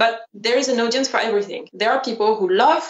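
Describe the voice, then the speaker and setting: In a French accent, a woman speaks with ordinary pitch variation. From France. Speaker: fashion designer and YouTuber. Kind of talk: interview.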